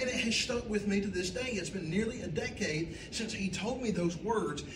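Over noticeable background noise, a man with a Southern US accent talks at a fairly quick pace in a high pitch with ordinary pitch variation. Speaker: pastor. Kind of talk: sermon. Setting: church.

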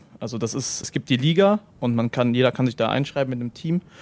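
An ordinary speaking voice talks at a fairly quick pace. The sound is dry and close, with no echo. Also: man. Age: 20s. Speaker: professional esports player. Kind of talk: casual interview.

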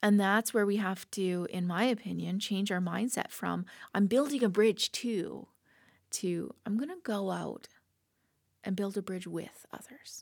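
A woman talks at a fairly slow pace in a medium pitch, with ordinary pitch variation and a plain, everyday voice. The recording is very clean, with a silent background. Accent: Canadian. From Canada, southern Alberta (Lethbridge). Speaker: church children's director. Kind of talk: casual chat.

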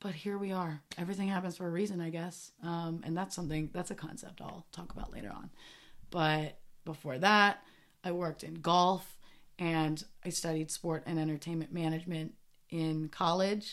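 This woman has a fairly low pitch, a moderate pace and fairly even intonation. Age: 20s. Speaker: podcast host. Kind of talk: casual monologue. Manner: hesitant, with fillers.

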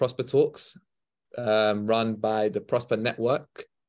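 Over a quiet background, a man speaks at a medium pitch and a very slow pace, his intonation fairly even. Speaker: network co-founder and podcast host. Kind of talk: panel discussion.

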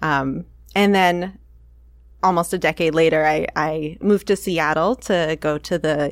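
On a very clean recording with a silent background, a woman with a very deep, low pitch speaks with vocal fry and ordinary pitch variation. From Maine. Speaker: artist. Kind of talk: interview. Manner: halting.

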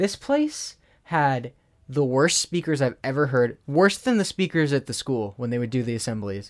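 In a very clean recording with a silent background, a man with a normal speaking voice talks at a moderate pace, medium in pitch, with lively intonation. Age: 20s. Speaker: podcast co-host. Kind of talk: casual chat.

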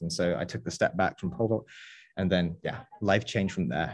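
A man with an English accent speaks at a very fast pace and a very deep, low pitch. His pitch varies ordinarily against a quiet background. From England. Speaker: videographer and former pole vaulter. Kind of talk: casual chat.

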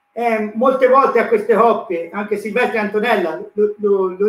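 A man is speaking here. His pace is moderate and his pitch varies in an ordinary way. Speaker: church volunteer. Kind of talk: testimony. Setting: live video stream. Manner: preacher-like.

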